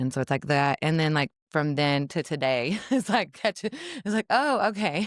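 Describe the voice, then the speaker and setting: Her very deep, low voice swings very widely in pitch at a moderate pace, with very even loudness and a dry, close sound free of echo. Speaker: author and spiritual seeker. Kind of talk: casual podcast conversation. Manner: casual, halting with fillers.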